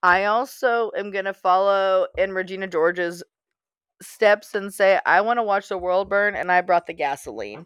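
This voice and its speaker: A woman with an American accent and an ordinary speaking voice talks at a moderate pace and medium pitch, with fairly even intonation. The background is quiet, and the sound is dry and close with no echo. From US, small town. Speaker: podcast co-host. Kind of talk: casual chat.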